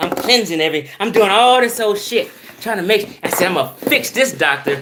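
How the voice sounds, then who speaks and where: The voice is raised and projected, moving at a fairly quick pace. Its pitch swings very widely. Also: man. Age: 50s. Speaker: video blogger. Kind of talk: casual monologue. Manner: animated.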